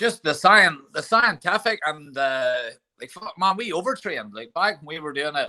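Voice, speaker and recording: A man with a Northern Irish accent speaks at a moderate pace in a high pitch with a bright, sharp tone. His pitch swings very widely and his loudness shifts a lot. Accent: Ballymena Northern Irish. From Northern Ireland, Ballymena. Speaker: MMA coach. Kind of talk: casual chat.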